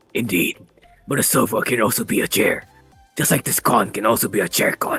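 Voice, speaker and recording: A man's gruff, raspy put-on character voice at a fairly quick pace, with faint music in the background. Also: medium pitch for a man. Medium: actual play. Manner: deadpan, solemn.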